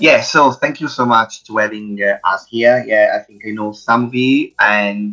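The speaker is a man with an Italian accent. He keeps a moderate pace. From Italy. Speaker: games PR agency founder. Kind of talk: panel discussion. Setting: video call.

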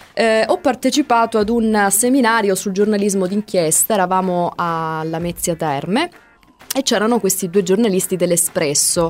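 A woman of medium pitch speaks at a moderate pace with ordinary pitch variation and very even loudness, over noticeable background noise. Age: 30s. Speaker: radio host. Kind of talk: casual chat.

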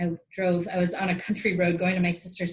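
A moderate pace carries the speech. There is a somewhat breathy quality to it. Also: woman. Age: 40s. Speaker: yoga instructor and wellness coach. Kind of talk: casual interview chat.

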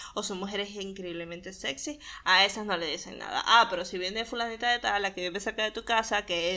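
A woman talks at a very fast pace. Her medium-pitched voice has a bright, sharp tone. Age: 20s. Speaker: podcast host and illustrator. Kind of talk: casual monologue.

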